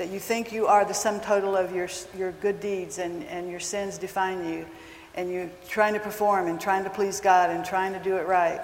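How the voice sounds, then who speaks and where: Noticeable background noise sits behind a woman speaking at a moderate pace. Her medium-pitched voice has a monotone, flat intonation. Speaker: counselor. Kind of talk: talk to a live audience. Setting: stage with audience. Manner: soft-spoken.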